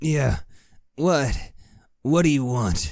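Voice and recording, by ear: A man puts on a gruff character voice at medium pitch, with ordinary pitch variation and audible echo.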